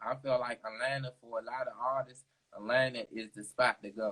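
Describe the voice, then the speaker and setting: A man with a strong DC accent, medium pitch, fairly even intonation and a moderate pace. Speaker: interviewer. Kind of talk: casual chat.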